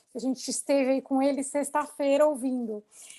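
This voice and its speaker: High pitch and fairly even intonation from a woman. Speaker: lawyer and mediator. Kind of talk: webinar discussion. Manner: laughs often.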